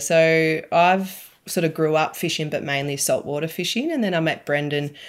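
A woman with an Australian accent, fairly low-pitched, at a moderate pace with hardly any pauses, on a very clean recording with a silent background. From Victoria, Australia. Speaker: angler, mum. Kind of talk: casual interview chat.

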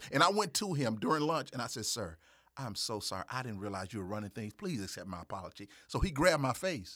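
With a Mississippi accent, a man speaks very fast in a bright, sharp tone at medium pitch, his pitch swinging very widely. The recording is very clean with a silent background. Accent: Southern US (Mississippi). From US South, Jackson, Mississippi. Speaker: videographer and TV/radio producer. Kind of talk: casual interview. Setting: studio.

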